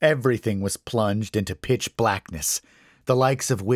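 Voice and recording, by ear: Ordinary variation in pitch, reading aloud in a natural voice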